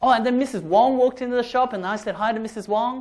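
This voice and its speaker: On a very clean recording with a silent background, speech in an Australian accent moves at a fairly quick pace. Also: man. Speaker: public speaking workshop trainer. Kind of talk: workshop talk. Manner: animated.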